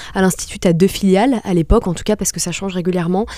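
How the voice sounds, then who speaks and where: A woman speaks at a very fast pace in a medium pitch, her intonation fairly even, with noticeable background noise behind her. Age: 20s. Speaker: restaurant entrepreneur. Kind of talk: interview. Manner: hesitant, many fillers.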